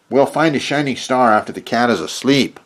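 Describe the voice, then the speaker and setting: A man uses a put-on character voice at medium pitch. He moves at a fairly quick pace. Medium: read story. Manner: eager, rushed.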